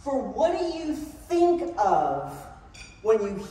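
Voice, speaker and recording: A woman with an American accent swings her pitch very widely, heard with audible room echo and noticeable background noise. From New Orleans, Louisiana and Cambridge, Massachusetts. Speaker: workshop speaker. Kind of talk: conference talk. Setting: stage with audience. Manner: animated.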